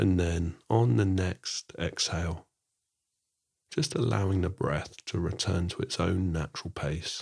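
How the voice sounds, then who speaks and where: A man with a very deep, low voice speaks in a soothing, calm tone with vocal fry. His pace is fairly slow, and his pitch variation is ordinary. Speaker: mindfulness teacher. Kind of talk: guided meditation; podcast monologue with guided meditation. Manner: slow, soothing, calm and gentle with unhurried pauses; soft-spoken.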